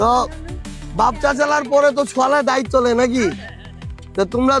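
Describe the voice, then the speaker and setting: A man speaks with a northern Bangladeshi accent at an extremely high pitch, his intonation fairly even. Music plays in the background. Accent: northern Bangladeshi regional dialect. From Atwari, Panchagarh, northern Bangladesh. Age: 30s. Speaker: politician. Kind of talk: election campaign speech to local voters.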